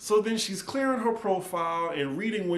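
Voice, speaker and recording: A man talks with an American accent. Noticeable background noise runs beneath him. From New Orleans, Louisiana. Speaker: TV recap YouTuber. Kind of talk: casual talk to camera.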